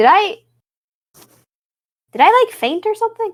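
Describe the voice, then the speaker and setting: In a squeaky, put-on character voice that sounds female, the speaker talks at a moderate pace with an extremely high pitch. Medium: actual play.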